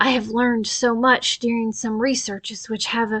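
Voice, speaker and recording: Putting on a croaky character voice, a woman speaks at a fairly high pitch and moderate pace with monotone, flat intonation. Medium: read story. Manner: imperious, sharp.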